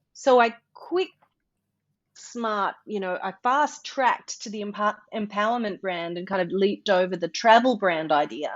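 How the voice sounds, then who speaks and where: A woman's medium-pitched voice with big swings in loudness. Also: lively intonation, moderate pace. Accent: Australian. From Australia, North Queensland. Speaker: motivational speaker and voice artist. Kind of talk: interview conversation.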